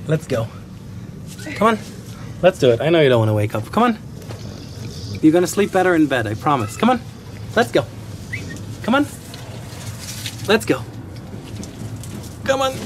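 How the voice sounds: A man's fairly high voice with big pitch swings, a moderate pace, long and frequent pauses, and faint background noise.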